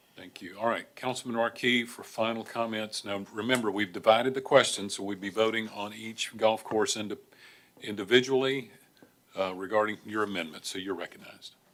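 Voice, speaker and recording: With an American accent, a man speaks at a fairly quick pace in a fairly low voice, his intonation fairly even but his loudness swinging widely. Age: 60s. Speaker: mayor chairing council meeting. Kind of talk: council meeting chairing. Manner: formal.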